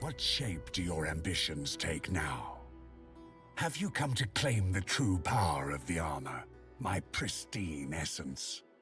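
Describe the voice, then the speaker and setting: Clear music plays in the background as a man does a put-on character voice. His pitch is very deep and low, and he speaks at a fairly slow pace. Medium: video game. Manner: commanding, imperious.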